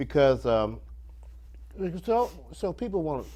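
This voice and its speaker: Vocal fry marks this man's voice, which has a dark, mellow tone. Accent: American. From Ohio, Springfield. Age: 60s. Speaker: bass player. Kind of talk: interview. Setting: studio.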